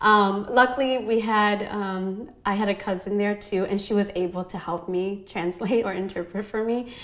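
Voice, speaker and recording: Over noticeable background noise, a woman of medium pitch with an American accent talks at a moderate pace with fairly even intonation and hardly any pauses. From US Midwest, Hmong family, arrived aged five. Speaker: teacher and educator. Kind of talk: interview conversation. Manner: hesitant, many fillers.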